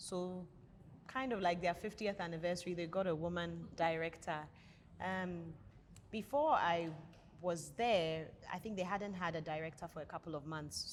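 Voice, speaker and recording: A woman with a fairly low pitch, ordinary pitch variation, a moderate pace, and long, frequent pauses. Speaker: organization director. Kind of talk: panel discussion. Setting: restaurant. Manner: loud.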